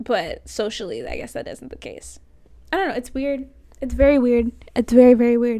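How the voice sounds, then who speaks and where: A soft-spoken woman talks in an American accent. Her loudness swings a lot. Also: moderate pace. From Florida, US. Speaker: college radio host. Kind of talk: casual solo talk show monologue. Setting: recording from home. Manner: soft-spoken, talks quietly.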